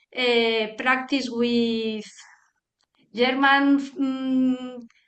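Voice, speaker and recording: Audible room echo around a woman's high-pitched voice in a Spanish accent. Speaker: guest practitioner. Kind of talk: casual chat. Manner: halting.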